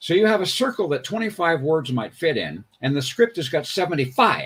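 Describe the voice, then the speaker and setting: The pitch swings very widely and the voice is somewhat breathy. The pace is fairly quick. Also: man. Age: 80s+. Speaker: comic book inker and artist. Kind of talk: livestream interview. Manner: halting, many fillers.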